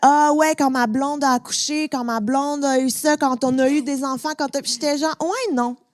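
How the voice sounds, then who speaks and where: A woman with a Quebec accent speaks fairly slowly in a high pitch, with hardly any pauses. Her intonation stays fairly even, and the sound is dry and close with no echo. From Quebec, Montreal. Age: 30s. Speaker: podcast host and comedian. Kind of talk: casual chat before a live audience. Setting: stage with audience.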